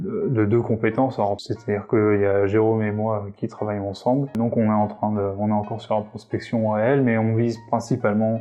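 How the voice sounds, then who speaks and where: Music plays behind a man with a fairly low pitch. He speaks at a moderate pace in a monotone, flat intonation. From Réunion. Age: 30s. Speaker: web developer. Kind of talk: interview answers. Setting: coworking space. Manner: hesitant, many fillers.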